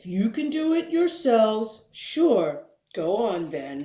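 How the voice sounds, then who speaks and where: Pitched fairly high, a put-on character voice moves at a fairly slow pace with very wide pitch swings. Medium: read story. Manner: curt, dismissive.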